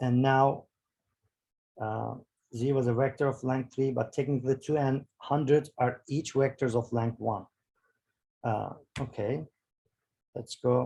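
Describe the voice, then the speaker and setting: The speaker sounds somewhat breathy, with a dark, mellow tone, fairly even intonation, a fairly slow pace and long, frequent pauses. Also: man, medium pitch for a man. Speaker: bioinformatics workshop instructor. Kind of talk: tutorial. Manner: halting, many fillers.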